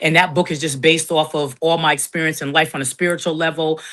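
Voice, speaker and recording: A woman speaks very fast in a very deep, low voice with a bright, sharp tone and fairly even intonation over a quiet background. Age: 50s. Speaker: podcaster and content creator. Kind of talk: interview.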